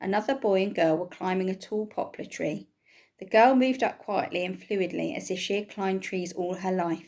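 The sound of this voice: Reading done in an unforced voice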